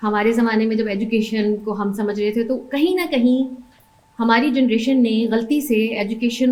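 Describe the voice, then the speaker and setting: With noticeable background noise and audible room echo, a woman speaks in a fairly high voice with ordinary pitch variation. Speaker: mother sharing life story. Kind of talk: personal testimony. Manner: hesitant, with fillers.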